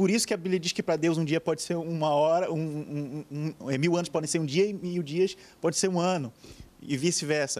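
Speaking in a Brazilian accent, a man has a fairly high pitch and fairly even intonation. He talks at a fairly quick pace. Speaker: pastor. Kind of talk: TV panel debate. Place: studio. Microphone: handheld.

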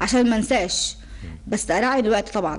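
A woman speaks with vocal fry. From Egypt. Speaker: personal development trainer. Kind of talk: TV interview. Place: studio. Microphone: studio mic.

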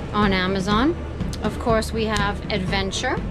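Clear music is audible in the background. Over it, a woman talks. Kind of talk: casual vlog chat. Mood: cheerful, proud. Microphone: phone near.

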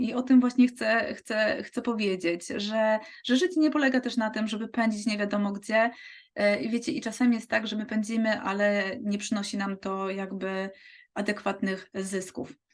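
A woman's somewhat breathy, fairly high-pitched voice at a moderate pace. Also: ordinary pitch variation. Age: 40s. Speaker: physiotherapist and network marketing recruiter. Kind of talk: sales pitch.

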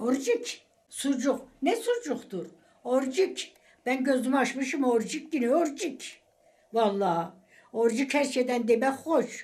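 A woman's high-pitched voice in an Eastern Anatolian accent, very slow and with lively intonation. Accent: Eastern Anatolian Turkish dialect. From Eastern Anatolia, Turkey. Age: 80s+. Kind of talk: interview answer.

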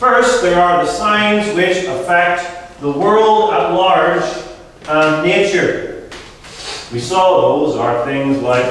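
Amid light background noise and strong room echo, a man speaks at a very slow pace. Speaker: pastor. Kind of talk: sermon. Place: hall.

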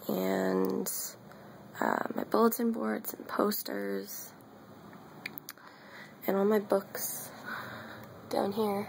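A whispering woman at a very slow pace, with long, frequent pauses and light background noise. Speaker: college student. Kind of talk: casual vlog apartment tour. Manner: whispered. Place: home room. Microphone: phone near.

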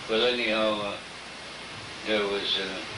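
A man's voice against noticeable background noise. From Alaska. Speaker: former fox trapper and storyteller. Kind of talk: interview answer. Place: home room. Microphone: old recording.

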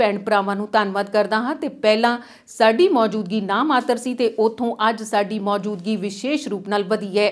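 A woman with an unremarkable speaking voice speaks in a fairly high pitch with fairly even intonation. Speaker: news anchor. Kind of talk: newsreading, scripted TV bulletin read from a script. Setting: studio. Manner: steady, formal and even-paced, delivering headlines in a brisk, neutral newsreader tone.

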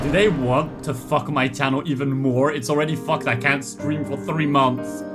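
A man's voice over clear music in the background. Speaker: anime reaction streamer. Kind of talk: casual reaction commentary. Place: home room.

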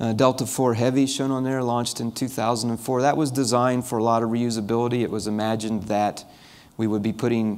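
A man talks at a fairly quick pace in a flat monotone. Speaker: keynote speaker. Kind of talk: conference keynote talk. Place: hall. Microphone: podium.

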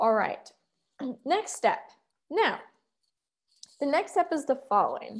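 A woman's high voice with very wide pitch swings. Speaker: security researcher and conference speaker. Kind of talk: interactive conference talk. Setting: virtual conference talk, screen share.

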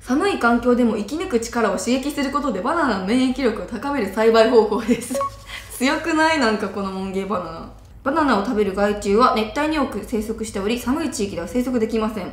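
Over noticeable background noise, a woman speaks at a fairly quick pace with lively intonation. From Okayama, Japan. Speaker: model and TV personality. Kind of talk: casual talk to camera. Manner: upbeat. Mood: cheerful, amused. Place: studio.

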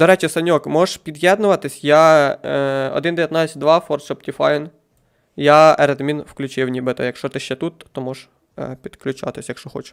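A fairly high male voice, an ordinary speaking voice, at a moderate pace with fairly even intonation, big swings in loudness and a dry, close sound with no echo. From Ukraine, Poltava region. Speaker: gaming streamer. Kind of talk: live game stream commentary.

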